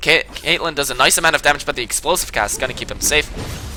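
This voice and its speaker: A man speaks at a very fast pace in a fairly high pitch. His tone is energetic, and background noise is noticeable. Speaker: game shoutcaster. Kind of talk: esports shoutcast commentary. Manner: fast, energetic.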